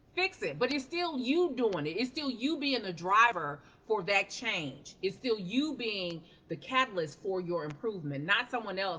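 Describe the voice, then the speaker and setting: A loud woman speaks in an animated tone at a moderate pace. Her pitch swings very widely. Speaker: life coach. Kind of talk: motivational talk on a livestream. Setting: live stream.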